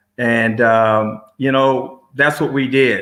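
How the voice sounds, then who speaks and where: A man's medium-pitched voice with an American accent, fairly even intonation and a bright, sharp tone. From San Francisco, Fillmore district. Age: 60s. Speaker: roller dance skater. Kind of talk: interview. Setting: studio.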